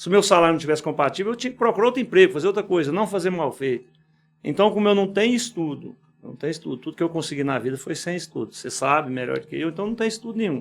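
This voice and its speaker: Talking at a very fast pace, a man speaks with lively intonation. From Goiás, Brazil (Quirinópolis, rural). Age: 60s. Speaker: business owner. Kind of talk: podcast interview. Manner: informal, conversational.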